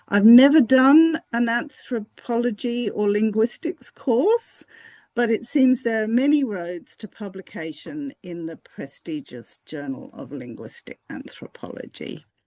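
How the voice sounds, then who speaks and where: Over a quiet background with a dry, close sound and no echo, a woman with a fairly high pitch and a dark, mellow tone speaks at a fairly slow pace with hardly any pauses, very wide pitch swings and big swings in loudness. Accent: Australian. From Fiji, then Hong Kong; Australian parents. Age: 60s. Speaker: academic researcher. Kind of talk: interview.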